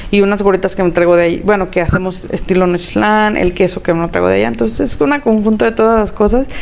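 Amid noticeable background noise, a woman at a medium pitch talks at a very fast pace with hardly any pauses, very even loudness and ordinary pitch variation. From Mexico, Zacatecas. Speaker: chef and restaurant owner. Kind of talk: interview.

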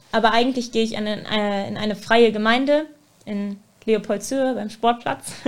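A woman's fairly high voice at a moderate pace, a plain, everyday voice with fairly even intonation and big swings in loudness. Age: 20s. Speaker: student teacher. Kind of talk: casual chat.

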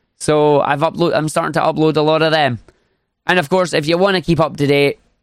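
A man's fairly high-pitched voice in a Scottish accent, with ordinary pitch variation. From Scotland. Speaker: speedrunner and streamer. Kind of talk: casual interview.

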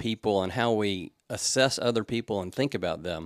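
A man's fairly low-pitched, a plain, everyday voice at a moderate pace, with ordinary pitch variation, a dry, close sound with no echo, and a very clean recording over a silent background. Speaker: pastor. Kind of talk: devotional reflection.

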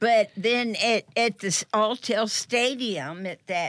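A woman in an American accent at medium pitch and a very slow pace, in a very clean recording with a silent background and a dry, close sound with no echo. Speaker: radio show regular caller. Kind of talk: casual chat.

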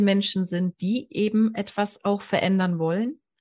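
Against a quiet background, a woman with a medium pitch speaks in a somewhat breathy voice. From Allgäu, southern Germany. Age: 40s. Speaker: hypnosis coach. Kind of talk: interview storytelling.

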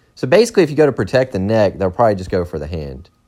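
Very fast speech from a man with a fairly low pitch, vocal fry and very wide pitch swings. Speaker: podcaster reading Wikipedia articles. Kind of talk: casual true-crime reading of a Wikipedia article, with profane asides. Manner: casual, irreverent.

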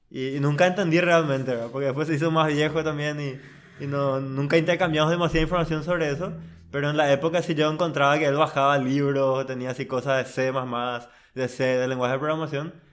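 A man speaks in a plain, everyday voice, fairly high in pitch, with fairly even intonation and a fairly quick pace. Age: 20s. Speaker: software engineer. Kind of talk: casual interview.

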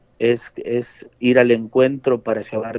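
Very slowly, a man delivers his words at a medium pitch. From Argentina, Buenos Aires suburbs (Quilmes). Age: young. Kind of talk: interview. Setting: phone call.

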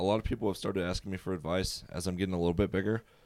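Over a silent background in a very clean recording, a man with an American accent and a plain, everyday voice speaks in a fairly low pitch with ordinary pitch variation. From Virginia, Prince George. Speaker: college student and resident assistant. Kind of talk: casual chat.

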